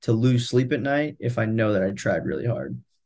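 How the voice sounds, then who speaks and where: A man with an American accent speaks at a medium pitch in a normal speaking voice, with ordinary pitch variation over a quiet background. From California, Central Valley. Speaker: product manager. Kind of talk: casual interview.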